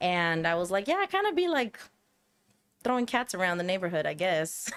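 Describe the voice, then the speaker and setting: A woman with a Spanish accent talks fairly quickly at a medium pitch, her intonation lively and her loudness very even. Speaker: podcast guest, artist and museum educator. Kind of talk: casual chat. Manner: code-switching between English and Spanish.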